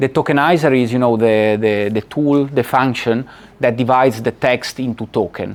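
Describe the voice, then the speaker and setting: A man's medium-pitched voice in an Italian accent, with very even loudness. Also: fairly even intonation, moderate pace. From Italy. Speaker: lecturer. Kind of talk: lecture. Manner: halting.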